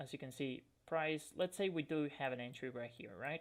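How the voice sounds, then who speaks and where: Someone with a non-native accent speaks at a moderate pace. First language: not English. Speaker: forex trading educator. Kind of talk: tutorial. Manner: hesitant, with frequent fillers.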